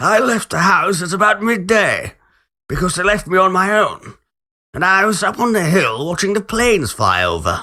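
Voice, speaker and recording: In a very clean recording with a silent background, a man does a put-on character voice at a high pitch and a moderate pace. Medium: read story. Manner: quiet, old-fashioned.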